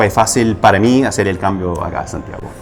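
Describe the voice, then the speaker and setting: A man's fairly low voice at a fairly quick pace with fairly even intonation, audible room echo and music in the background. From US, Los Angeles, California. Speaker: coffee roaster, business owner. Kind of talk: casual interview. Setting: studio.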